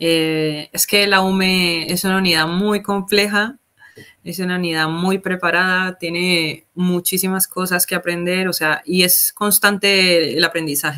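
The speech moves at a fairly slow pace with fairly even intonation over a quiet background. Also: woman. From Colombia, Palmira (Valle del Cauca); Valle del Cauca, Colombia. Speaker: military corporal in an emergency unit; guest. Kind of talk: casual interview. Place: home room.

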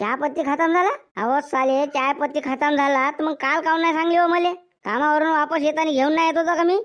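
A woman's gruff, put-on character voice, high in pitch, at a moderate pace with fairly even intonation and very even loudness. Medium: cartoon. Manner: gruff, quick-tempered, abusive.

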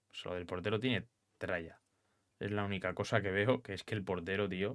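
Against a quiet background, a man talks in a fairly low voice. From Spain. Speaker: gaming youtuber. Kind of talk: gameplay commentary. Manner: animated. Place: home room.

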